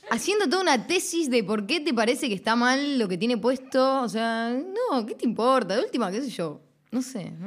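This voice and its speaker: Amid noticeable background noise, a woman with a high voice speaks at a moderate pace with very wide pitch swings. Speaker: radio host. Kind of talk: casual chat.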